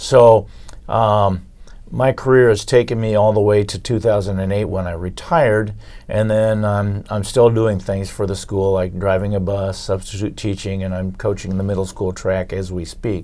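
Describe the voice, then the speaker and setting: A man's fairly low voice with a dark, mellow tone, an American accent, fairly even intonation and a moderate pace. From Iowa, US Midwest. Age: 70s. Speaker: retired teacher and coach. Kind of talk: community talk, reminiscing. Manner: halting, many fillers.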